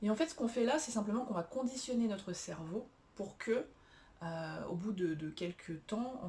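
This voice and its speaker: At a fairly slow pace, the voice is somewhat breathy, with a dark, mellow tone and lively intonation. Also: woman. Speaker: self-help coach. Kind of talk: tutorial. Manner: hesitant, many fillers.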